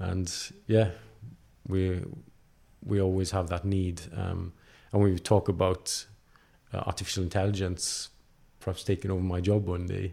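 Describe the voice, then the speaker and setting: In a very clean recording with a silent background, a man with a very deep, low pitch and a dark, mellow tone talks in a monotone, flat way, somewhat breathy, with long, frequent pauses. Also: moderate pace. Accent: South Wales. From Wales, Carmarthenshire. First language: Welsh. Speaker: designer. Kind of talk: casual interview.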